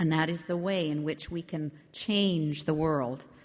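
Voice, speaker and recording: A woman speaks in a Canadian Arctic accent with a very deep, low pitch. Her intonation stays fairly even at a moderate pace. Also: quiet background. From Arctic Quebec (Nunavik), Canada. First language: Inuktitut. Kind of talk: public speech. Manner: formal.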